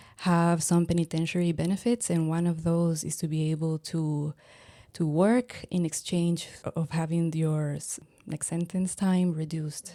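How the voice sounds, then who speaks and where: A woman with a Spanish accent speaks at a fairly slow pace and fairly low pitch, with fairly even intonation and a dark, mellow tone. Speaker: anthropologist. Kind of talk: interview. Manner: halting.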